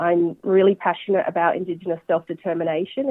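Delivered with an Australian accent, the speech races along at a very fast pace. The intonation stays fairly even. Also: woman. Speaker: bank executive. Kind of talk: interview.

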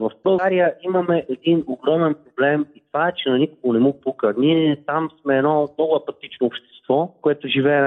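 The man has an ordinary speaking voice, keeping a moderate tempo and typical pitch movement. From Bulgaria, Velingrad. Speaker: transplant athlete, former journalist. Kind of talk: phone interview.

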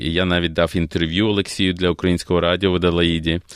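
A man's very deep, low voice in a flat monotone. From Ukraine, Kyiv. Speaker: opera singer. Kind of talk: interview. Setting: studio.

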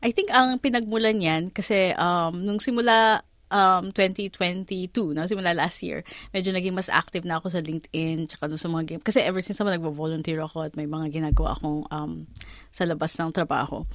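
Against a quiet background, a woman with an ordinary speaking voice talks at a fairly quick pace, her fairly low pitch showing ordinary variation. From Philippines. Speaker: lawyer and career mentor. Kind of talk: interview.

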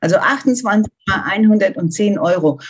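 Somewhat breathy, a woman at a medium pitch makes very wide pitch swings. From Germany. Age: 50s. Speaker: volunteer seamstress for wildlife charity. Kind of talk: interview.

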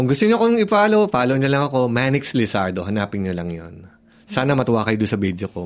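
A man talking at a very fast pace. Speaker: social media content creator. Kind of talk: radio interview.

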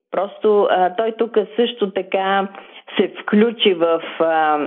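A woman talks very slowly with ordinary pitch variation while noticeable background noise carries on. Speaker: guest's daughter. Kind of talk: interview. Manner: halting, many fillers.

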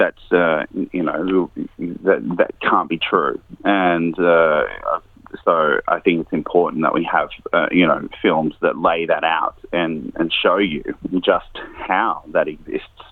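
The speaker is male. An Australian accent comes through in his speech. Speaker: investigative journalist and filmmaker. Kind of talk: interview. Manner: hesitant, many fillers.

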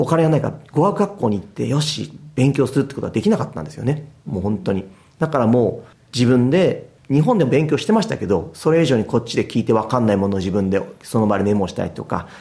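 Very fast and somewhat breathy, a man talks in a dark, mellow tone at a medium pitch, his voice making very wide pitch swings. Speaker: football goalkeeper coach. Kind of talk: interview.

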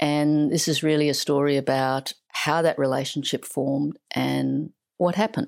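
A woman speaks in a low pitch with vocal fry. Her intonation is fairly even and her pace fairly slow.

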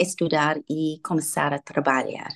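In a dry, close recording with no echo, a woman with an English accent speaks fairly slowly, her fairly low pitch showing ordinary variation. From Australia, Sydney. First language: English (speaking Portuguese). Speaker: ambassador. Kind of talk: interview. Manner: halting.

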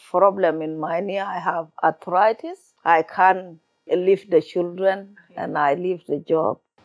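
Very slow delivery with fairly even intonation. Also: woman. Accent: South Sudanese. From South Sudan. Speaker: refugee storyteller. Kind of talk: interview. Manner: halting, simple English.

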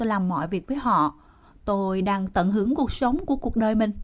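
Speaking at a moderate pace, a woman with a medium pitch sounds somewhat breathy and uses lively intonation. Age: 60s. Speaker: formerly homeless senior. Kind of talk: casual chat. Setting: outdoors.

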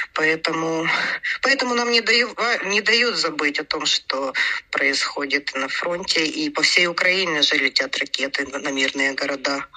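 Noticeable background noise sits behind a woman's voice. She talks at a fairly slow pace with very wide pitch swings. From Ukraine. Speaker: pediatric hospital department head. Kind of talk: interview.

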